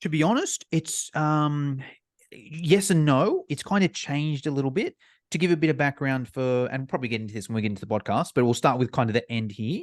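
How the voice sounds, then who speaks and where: A man with an Australian accent talks at a fairly quick pace in a fairly high pitch with lively intonation. The sound is dry and close with no echo, over a quiet background. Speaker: online fitness course provider. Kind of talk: podcast interview.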